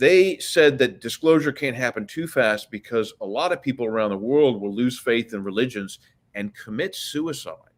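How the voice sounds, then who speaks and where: A man talks at a moderate pace and medium pitch, with lively intonation, in an ordinary speaking voice. The recording is very clean, with a silent background. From US, Washington DC. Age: 60s. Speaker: author. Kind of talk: interview.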